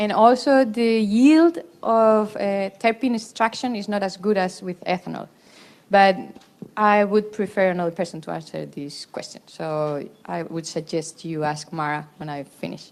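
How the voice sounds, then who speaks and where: A woman with a Spanish accent at a moderate pace, lively in intonation, with big swings in loudness. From Spain. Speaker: professor, cancer researcher; conference presenter. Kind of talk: conference Q&A. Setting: conference hall with audience. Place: meeting room. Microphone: handheld.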